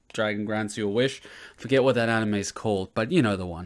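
A man is speaking at a fairly quick pace. His intonation stays fairly even. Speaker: anime reaction commentator. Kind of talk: casual vlog chat. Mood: joking, sarcastic. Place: home room. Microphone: studio mic.

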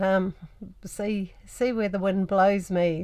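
Quiet background behind a speaking woman. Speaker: travel vlogger. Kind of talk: casual vlog chat. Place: home room.

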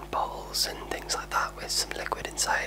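A man is whispering. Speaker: ASMR creator. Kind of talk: ASMR video, casual talk to camera. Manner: soft-spoken, relaxed. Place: home room. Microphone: studio mic.

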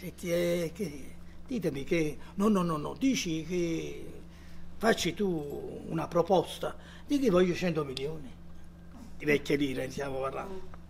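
Speech comes at a fairly slow pace with long, frequent pauses and light background noise. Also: man, high pitch for a man, ordinary pitch variation. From Italy. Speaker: actor. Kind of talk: public talk with audience, anecdotes. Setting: cinema hall with audience. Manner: animated storytelling. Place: hall. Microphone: handheld.

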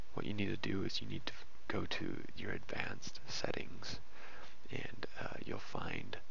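The speaker whispers at a moderate pace. Noticeable background noise sits behind the voice. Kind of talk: screen-recorded tech tutorial. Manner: quiet; casual, hesitant with fillers.

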